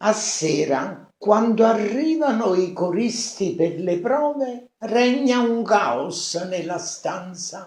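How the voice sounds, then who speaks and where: A man with a high pitch and lively intonation speaks at a very slow pace, with hardly any pauses. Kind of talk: poetry reading. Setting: smartphone recording.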